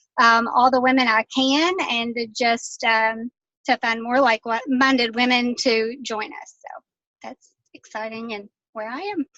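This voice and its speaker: With a Southern US accent, a woman talks at a fairly slow pace in a high-pitched, bright, sharp tone, her loudness swinging widely. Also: ordinary pitch variation, dry, close sound with no echo. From Kentucky. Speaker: health and fitness coach. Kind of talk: casual testimony.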